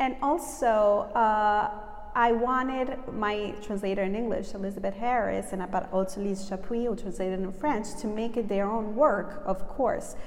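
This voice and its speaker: In an American accent, a woman speaks at a moderate pace with a fairly high pitch. Her pitch varies in an ordinary way, and there is noticeable background noise. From Southern Italy (early childhood in New York). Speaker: writer. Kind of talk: interview. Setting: festival event.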